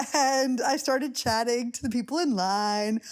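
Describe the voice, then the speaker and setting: A woman's fairly high voice at a fairly slow pace, on a very clean recording with a silent background. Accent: New York. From US, New York. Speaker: podcast host. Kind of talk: casual chat.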